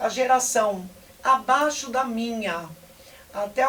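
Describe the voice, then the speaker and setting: Through noticeable background noise, a woman speaks at a high pitch. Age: 60s. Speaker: basketball coach. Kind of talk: interview.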